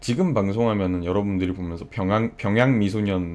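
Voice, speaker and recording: This man's fairly low voice moves at a fairly quick pace, with ordinary pitch variation. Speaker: livestreamer. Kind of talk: casual chat. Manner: animated.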